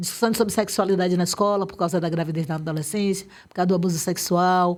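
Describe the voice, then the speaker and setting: A woman speaks very fast at a medium pitch, her intonation fairly even. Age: 60s. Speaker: activist. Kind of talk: interview.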